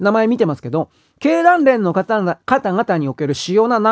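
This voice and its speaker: Here a man speaks with a high pitch. His pitch swings very widely. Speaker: political commentator. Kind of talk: solo monologue commentary. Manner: casual, rambling with fillers.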